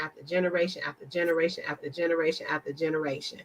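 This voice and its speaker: At a very fast pace and fairly low pitch, a woman talks in an animated tone over noticeable background noise. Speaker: fundraiser host. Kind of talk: casual chat. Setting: video call. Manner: loud.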